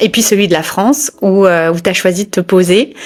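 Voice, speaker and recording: A woman speaks at a medium pitch with ordinary pitch variation. Noticeable background noise sits behind her voice. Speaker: yoga business coach and interviewer. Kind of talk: podcast interview host.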